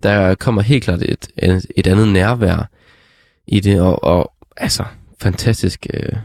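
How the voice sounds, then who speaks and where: The man's voice is fairly low, with fairly even intonation, moving at a very slow pace with long, frequent pauses. The sound is dry and close, with no echo. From Denmark, Struer (West Jutland). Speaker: podcast host. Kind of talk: casual music review chat. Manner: halting, many fillers.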